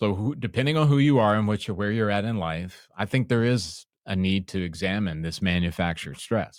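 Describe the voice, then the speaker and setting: A man's normal speaking voice, fairly low in pitch, with lively intonation at a fairly quick pace, hardly any pauses, and a very clean recording over a silent background. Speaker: podcast host. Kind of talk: casual conversation.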